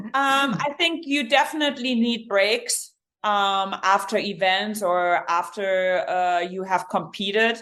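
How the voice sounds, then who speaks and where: A woman with a German accent, medium pitch and a bright, sharp tone, lively intonation at a very slow pace with hardly any pauses, in a very clean recording with a silent background. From Germany, rural village. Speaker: endurance coach and triathlete. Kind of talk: podcast interview.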